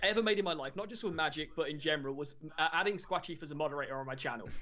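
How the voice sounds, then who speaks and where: A man with an English accent talks at a very fast pace. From England. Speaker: Magic the Gathering streamer. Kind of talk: casual interview chat.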